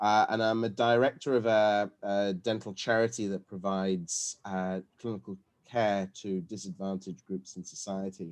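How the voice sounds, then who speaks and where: Against a quiet background, a man with a British accent talks at a moderate pace in a fairly low pitch with fairly even intonation. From UK. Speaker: dental academic and lecturer. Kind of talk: webinar lecture. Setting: video call. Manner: hesitant, with fillers and repetitions.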